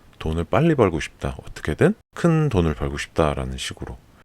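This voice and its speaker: In a very clean recording with a silent background and a dry, close sound free of echo, a man speaks in a calm tone, his pitch swinging very widely. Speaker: Korean listening content host. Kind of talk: casual personal commentary.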